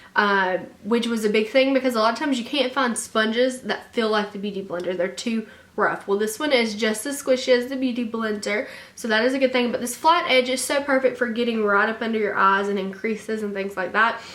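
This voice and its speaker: Speaking fairly quickly with a Southern US accent, a woman uses a fairly high pitch and ordinary pitch variation. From Alabama, US. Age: 20s. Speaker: beauty vlogger. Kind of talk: casual talk to camera.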